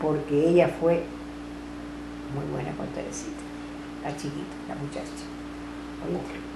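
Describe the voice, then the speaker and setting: A woman with a Cuban accent at a fairly slow pace, with long, frequent pauses, big swings in loudness, audible room echo and noticeable background noise. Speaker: grandmother recounting family history. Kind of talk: family oral history interview.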